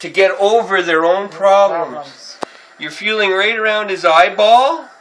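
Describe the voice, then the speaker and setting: Loud speech at a moderate pace over noticeable background noise. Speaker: artist, painter. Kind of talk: casual talk explaining art. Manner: loud, over-articulated.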